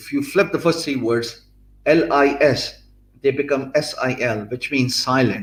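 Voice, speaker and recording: A man with a Pakistani accent talks at a fairly slow pace in a somewhat breathy voice. His pitch is fairly high, with ordinary variation. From Pakistan, Punjab. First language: Punjabi or Urdu. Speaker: blogger and youtuber teaching business skills. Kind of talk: live-streamed lecture. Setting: live stream. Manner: hesitant, many fillers.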